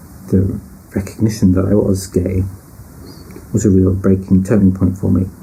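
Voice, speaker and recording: Amid audible room echo, a man talks at a moderate pace in a very deep, low pitch, flat and monotone, his loudness very even. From northern England, British Pakistani. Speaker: personal storyteller. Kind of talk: personal testimony.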